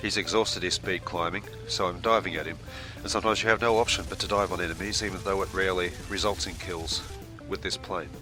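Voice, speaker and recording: Music plays behind a man with a very deep, low pitch. He speaks at a very fast pace with lively intonation. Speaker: video game reviewer. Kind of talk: gameplay tutorial commentary.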